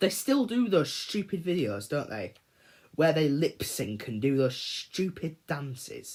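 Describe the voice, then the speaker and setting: The speaker has an English accent. The delivery is fairly slow. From England. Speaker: gaming streamer. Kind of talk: casual livestream chat. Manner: rambling, repetitive.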